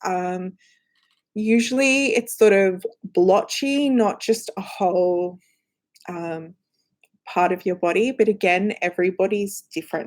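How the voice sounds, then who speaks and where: Very slow speech with an Australian accent. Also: woman. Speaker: company representative answering viewer questions. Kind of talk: live Q&A stream. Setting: live stream in front of cameras. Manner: casual, lots of filler words.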